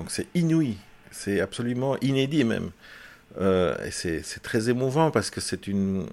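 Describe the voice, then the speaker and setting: Speaking at a very slow pace and medium pitch, a man makes very wide pitch swings, captured in a very clean recording with a silent background. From Belgium. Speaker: film director. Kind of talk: interview. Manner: halting, many repetitions and fillers.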